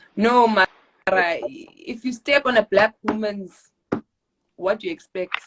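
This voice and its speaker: In a South African accent, a woman with a fairly high pitch speaks in an animated tone with lively intonation, at a fairly slow pace with long, frequent pauses, in a dry, close sound with no echo. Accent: South African (Xhosa) English. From South Africa, East London, Eastern Cape. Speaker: actress and model. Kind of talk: casual interview chat.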